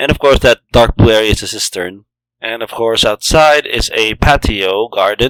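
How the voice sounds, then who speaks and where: A man talks in a plain, everyday voice at medium pitch. His pace is fairly slow. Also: dry, close sound with no echo. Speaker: game world creator. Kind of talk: game walkthrough narration. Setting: home recording, low-quality microphone.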